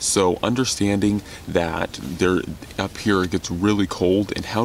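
The speech moves at a fairly slow pace, with dry sound, no echo and light background noise. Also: man. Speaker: bushcraft vlogger. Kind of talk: casual vlog chat. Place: tent. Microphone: phone near.

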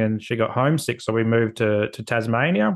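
The background stays quiet. His intonation, that of a man, is fairly even. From Australia, Adelaide. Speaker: social worker; podcast guest. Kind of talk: casual chat. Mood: reflective, personal storytelling. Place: home room. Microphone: video call.

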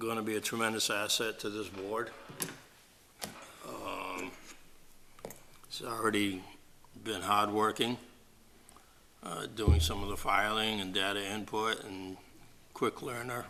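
In a room with audible echo, a man with a fairly low pitch speaks at a fairly slow pace with fairly even intonation and long, frequent pauses. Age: 70s. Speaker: board of health chair. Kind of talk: public meeting. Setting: town hall meeting room. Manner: halting with fillers.

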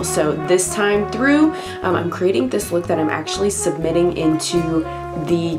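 A woman's voice is heard with clear music in the background. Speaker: beauty YouTuber. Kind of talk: casual talk to camera. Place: home room.

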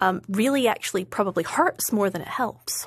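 In a Scottish accent, a woman speaks fairly quickly in a fairly high pitch with lively intonation. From Scotland. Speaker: foreign policy researcher. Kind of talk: interview.

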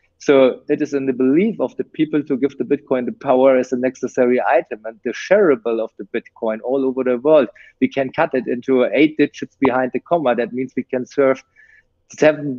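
A man speaks at a fairly quick pace with a German accent and ordinary pitch variation. The sound is dry with no echo, against a quiet background. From Germany. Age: 40s. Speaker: technology entrepreneur. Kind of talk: interview. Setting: video call. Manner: hesitant, many fillers. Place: home room. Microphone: video call.

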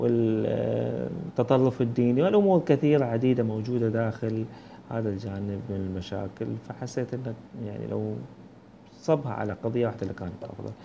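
Noticeable background noise surrounds a man with a Bahraini accent, speaking at medium pitch and a moderate pace. His tone is dark and mellow and somewhat breathy. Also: ordinary pitch variation. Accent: Bahraini Gulf Arabic. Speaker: book reviewer. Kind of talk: book review monologue. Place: home room. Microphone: earbuds.

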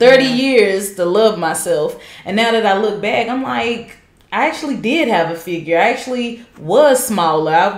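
At a moderate pace, a woman with a fairly high pitch speaks with lively intonation amid audible room echo. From Charlotte, North Carolina. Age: 30s. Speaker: guest, host's cousin. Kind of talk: casual chat. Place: home room.

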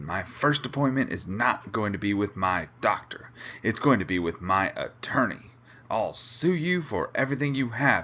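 At a moderate pace, a man does a put-on character voice at medium pitch with very wide pitch swings. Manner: angry, threatening.

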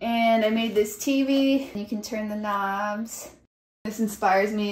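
Speaking very slowly with an American accent, a woman uses a fairly high, somewhat breathy voice and ordinary pitch variation, with audible room echo around her. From Chicago, Pilsen; Chicago. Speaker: illustrator. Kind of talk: panel discussion; casual studio tour chat. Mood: warm, a bit shy. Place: home room. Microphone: phone near.

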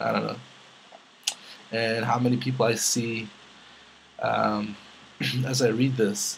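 Speaking fairly slowly with long, frequent pauses, a man keeps a monotone, flat intonation at a medium pitch over noticeable background noise. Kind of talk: casual talk to camera, Q&A vlog.

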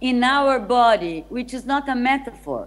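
Fairly slow delivery with ordinary pitch variation. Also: woman. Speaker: remote guest lecturer. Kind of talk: lecture. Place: hall.

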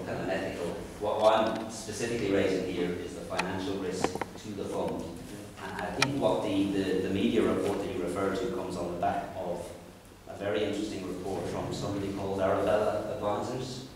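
A man with a fairly low pitch talks at a fairly quick pace with fairly even intonation. There is strong room echo and light background noise. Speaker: member of the public or councillor raising a question. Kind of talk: meeting contribution. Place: meeting room. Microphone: camera far.

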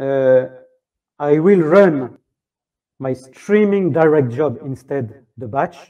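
Speaking with a French accent, a man has a dark, mellow tone, fairly high pitch and lively intonation, with big swings in loudness. His pace is very slow with long, frequent pauses against a quiet background. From France. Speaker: software tech lead; conference presenter. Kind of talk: conference talk; technical talk demo. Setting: stage with audience. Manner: halting. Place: stage.

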